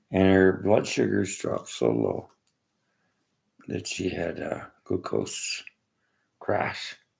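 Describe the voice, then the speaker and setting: A man with a Canadian accent at a very slow pace, with long, frequent pauses. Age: 60s. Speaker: Reiki master. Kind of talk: casual monologue. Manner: halting.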